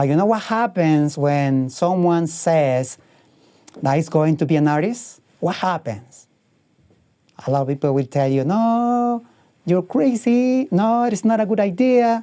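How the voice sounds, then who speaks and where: A man with a Spanish accent, high-pitched with very wide pitch swings, at a fairly slow pace and very even loudness. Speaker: painter. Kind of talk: motivational talk. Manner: halting.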